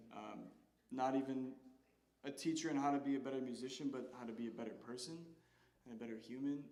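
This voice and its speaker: Speaking at a very fast pace, a man with fairly high pitch is heard with audible room echo. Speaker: jazz vocalist. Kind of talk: stage speech thanking people at a concert. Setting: concert stage with audience. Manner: halting.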